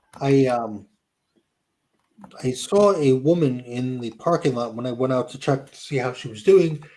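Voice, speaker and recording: A fairly slow delivery in a New Jersey accent, with ordinary pitch variation, big swings in loudness and long, frequent pauses. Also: man, medium pitch for a man. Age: 60s. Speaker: YouTuber. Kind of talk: casual chat.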